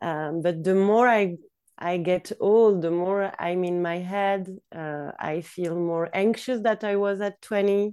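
In a very clean recording with a silent background, a woman with a Swiss accent speaks at a very slow pace and medium pitch, her tone dark and mellow and her intonation fairly even. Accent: Swiss-accented English, noticeable non-native. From Switzerland. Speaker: yoga teacher. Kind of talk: casual interview. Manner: hesitant, many fillers.

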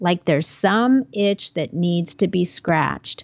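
At a fairly slow pace, a woman with a plain, everyday voice speaks using lively intonation. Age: 50s. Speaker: podcast host and life coach. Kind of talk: solo monologue podcast. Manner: casual, conversational.

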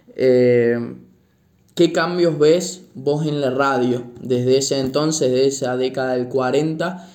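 A man speaks at a medium pitch and a very slow pace. His intonation stays fairly even, with audible room echo. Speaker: university student, podcaster, grandchild. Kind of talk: interview.

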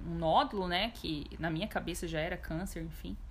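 A woman speaks at a moderate pace. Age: 20s. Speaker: guest sharing testimony of anxiety. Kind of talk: testimony; casual chat.

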